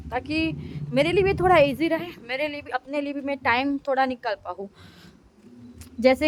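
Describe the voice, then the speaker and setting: A woman speaks with a Gujarati accent in a high voice. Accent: Gujarati-accented Hindi. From India, Gujarat. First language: Gujarati (speaking Hindi). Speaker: mom vlogger. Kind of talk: vlog. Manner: casual, chatty.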